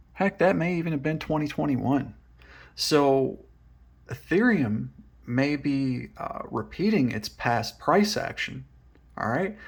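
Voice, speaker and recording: Fairly high in pitch for a man, his somewhat breathy voice makes very wide pitch swings at a fairly slow pace. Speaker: crypto commentator. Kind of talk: market analysis video. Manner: casual, filler-heavy.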